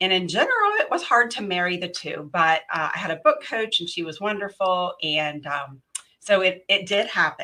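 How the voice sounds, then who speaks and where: A woman with a slight West Virginia accent speaks at a moderate pace, her loudness swinging widely. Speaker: professional organizer and author. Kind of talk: interview.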